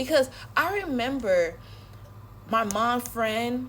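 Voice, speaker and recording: A woman's animated tone with vocal fry and lively intonation. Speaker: social media creator. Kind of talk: casual rant to camera. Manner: fast.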